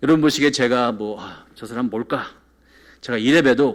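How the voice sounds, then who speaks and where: Delivered at a moderate pace, a plain, everyday voice moves with lively intonation. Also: man. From South Korea, moved to New York at 14. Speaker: pastor. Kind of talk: sermon. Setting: church.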